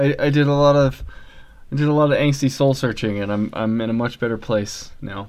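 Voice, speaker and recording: Ordinary pitch movement and a fairly quick tempo in a plain, everyday voice. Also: man, medium pitch for a man. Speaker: podcast host. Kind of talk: casual banter.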